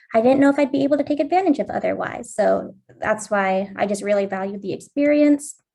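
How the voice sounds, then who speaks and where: Over a quiet background, a woman with an American accent uses an ordinary speaking voice at a fairly quick pace with ordinary pitch variation. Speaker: study abroad alum, grad student. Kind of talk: panel introduction.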